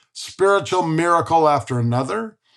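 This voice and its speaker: This man speaks with a high pitch and lively intonation. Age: 70s. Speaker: entrepreneur, near-death experiencer. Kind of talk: interview testimony.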